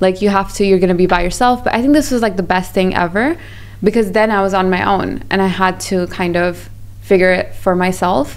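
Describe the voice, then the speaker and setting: At a fairly quick pace, a woman speaks in a medium pitch with ordinary pitch variation and very even loudness, against noticeable background noise. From Pakistan, raised partly in Malaysia. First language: not English. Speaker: business founder. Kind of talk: podcast interview. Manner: animated.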